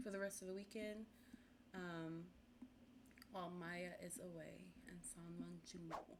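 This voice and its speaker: A woman with an American accent speaks at a fairly slow pace, leaving long, frequent pauses. Noticeable background noise sits behind her. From US South, Memphis, Tennessee. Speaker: gaming content creator. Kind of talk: gameplay commentary. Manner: casual, chatty.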